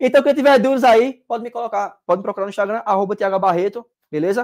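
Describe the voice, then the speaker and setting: His speech has lively intonation. The man's tone sounds animated. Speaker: exam prep teacher. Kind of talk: live online class. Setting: livestream. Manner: fast.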